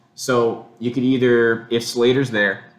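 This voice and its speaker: A man speaks with a fairly low-pitched voice. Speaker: sports podcast host. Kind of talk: casual sports chat. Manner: animated, excitable.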